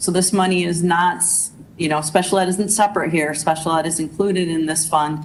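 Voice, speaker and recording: A woman with a fairly low pitch speaks fairly quickly in a monotone, flat intonation, with audible room echo and noticeable background noise. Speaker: school district administrator. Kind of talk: budget presentation at board meeting. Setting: school board meeting. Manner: fast; hesitant, many fillers.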